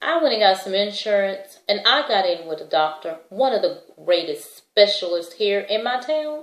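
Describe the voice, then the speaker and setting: A woman speaks with a fairly high pitch. Her pitch swings very widely. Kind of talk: testimony. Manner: casual conversational.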